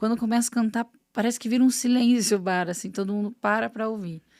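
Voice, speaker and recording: A woman with a fairly high pitch and ordinary pitch variation speaks at a fairly quick pace in a very clean recording with a silent background. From Palmeira, Paraná, southern Brazil. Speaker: singer. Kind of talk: casual chat.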